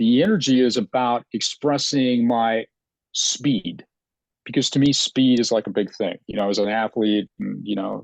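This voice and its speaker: A man with a plain, everyday voice, medium pitch and ordinary pitch variation, at a moderate pace, in a dry, close sound with no echo and a quiet background. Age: 60s. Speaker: psychic astrologer and former athlete. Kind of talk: casual conversation on a live video stream. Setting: Facebook live video.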